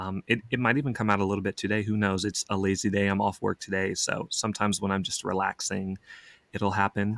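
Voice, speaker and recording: Talking at a very fast pace, a man with an American accent keeps a monotone, flat intonation at a fairly low pitch. The sound is dry and close with no echo, on a very clean recording with a silent background. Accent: slight Southern, trained out. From Oklahoma, US South. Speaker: actor. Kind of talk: casual chat.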